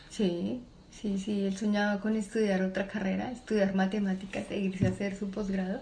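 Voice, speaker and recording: The delivery is fairly slow, somewhat breathy, and fairly even in intonation. Room echo can be heard. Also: woman. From Colombia, Bogotá. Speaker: mechanical engineer and entrepreneur. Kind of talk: interview. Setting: at a relative's home, not a studio.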